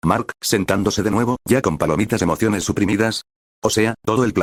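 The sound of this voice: An unforced reading voice, fairly even in intonation, against a quiet background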